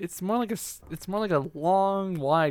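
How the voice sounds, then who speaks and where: With a plain, everyday voice, a man talks at a fairly slow pace with ordinary pitch variation. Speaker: podcast co-host and editor. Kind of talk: casual chat. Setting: remote online call.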